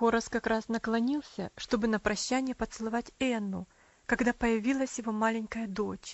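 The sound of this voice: An unforced reading voice with fairly even intonation comes through.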